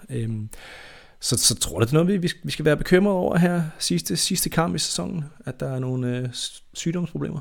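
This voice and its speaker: Here a man speaks at a moderate pace with a fairly high pitch. His pitch swings very widely. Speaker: football podcast host. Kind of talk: casual chat. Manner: halting.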